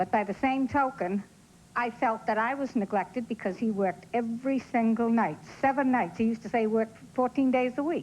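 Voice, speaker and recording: This woman has a Boston accent and a fairly high pitch. She talks at a fairly quick pace with ordinary pitch variation. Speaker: talk show audience member. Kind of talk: casual chat.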